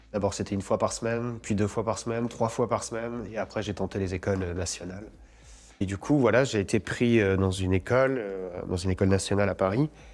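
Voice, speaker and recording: On a very clean recording with a silent background, a man speaks at a fairly quick pace. His voice is fairly low, with ordinary pitch variation. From France. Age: 40s. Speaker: actor. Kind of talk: interview. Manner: casual, hesitant with fillers and repetitions.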